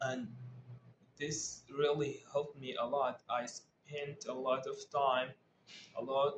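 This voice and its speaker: With an Arabic accent, a man speaks very slowly in a fairly high pitch, somewhat breathy, with fairly even intonation and long, frequent pauses. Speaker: English learner vlogger. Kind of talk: casual talk to camera. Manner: halting, with frequent repetitions and fillers.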